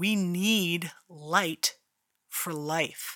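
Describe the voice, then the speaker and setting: In a very clean recording with a silent background, a woman with an American accent speaks at a fairly low pitch, with a bright, sharp tone and ordinary pitch variation. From Philadelphia, US. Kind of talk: devotional talk with prayer.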